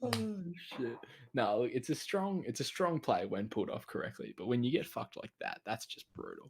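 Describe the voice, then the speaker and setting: A man speaks at a fairly quick pace with an Australian accent. The sound is dry and close, with no echo. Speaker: podcast co-host. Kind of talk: casual chat.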